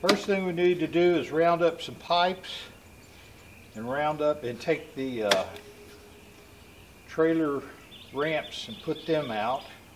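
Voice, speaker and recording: A man speaks rather slowly while a noticeable amount of background noise runs beneath him. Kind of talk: casual vlog chat. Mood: relaxed, joking. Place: open country.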